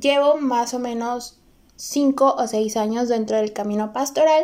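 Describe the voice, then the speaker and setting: In a very clean recording with a silent background, a woman speaks at a fairly slow pace in a high, dark and mellow voice with a Veracruz Mexican accent and ordinary pitch variation. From Mexico, Córdoba, Veracruz. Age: 20s. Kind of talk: personal testimony podcast intro.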